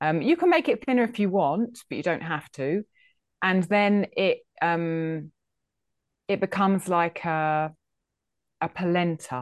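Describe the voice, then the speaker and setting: With an English accent, a woman speaks at a fairly slow pace in a fairly low pitch, using ordinary pitch variation and long, frequent pauses. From England. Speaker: food history podcaster. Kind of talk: interview.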